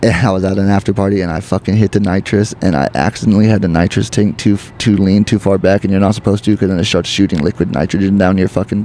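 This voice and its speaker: Noticeable background noise sits behind a man with an American accent and a fairly low pitch. He talks with very even loudness and hardly any pauses. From Oregon, McMinnville. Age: 30s. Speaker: comedian. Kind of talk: casual interview chat. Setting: oyster bar. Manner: animated.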